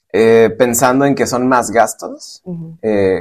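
A man at a fairly slow pace, with a Mexican accent. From Michoacán, Mexico. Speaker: civil engineer. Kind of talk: casual interview. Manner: halting, many fillers.

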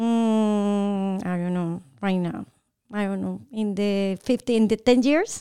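Very slowly and with fairly even intonation, a woman with a Colombian accent speaks in a dark, mellow tone. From Bogotá, Colombia. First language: Spanish. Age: 40s. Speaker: realtor and entrepreneur. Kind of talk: casual interview. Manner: high energy.

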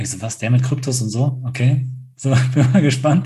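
Somewhat breathy, a man at medium pitch speaks with a dark, mellow tone and fairly even intonation in a room with audible echo. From rural Germany. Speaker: podcast co-host. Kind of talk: casual chat.

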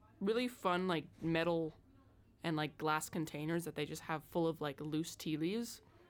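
Recorded very cleanly against a silent background, a woman with a fairly low pitch speaks with an American accent and ordinary pitch variation. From US Pacific Northwest, Seattle. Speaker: student podcast host. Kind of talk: casual chat.

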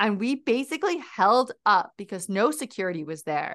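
A woman speaks in an animated tone with vocal fry. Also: quiet background. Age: 30s. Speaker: podcast host. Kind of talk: casual chat.

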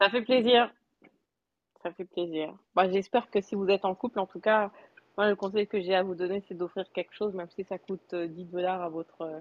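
A woman with a medium pitch speaks at a moderate pace with fairly even intonation. Her speech has long, frequent pauses. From France. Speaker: Clubhouse participant, mother. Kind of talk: casual chat.

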